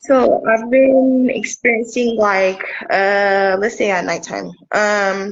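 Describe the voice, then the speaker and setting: At a very slow pace, a woman talks in a fairly high pitch with ordinary pitch variation. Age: 30s. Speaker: caller. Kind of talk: call-in question. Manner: halting, many fillers. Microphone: echo on the line.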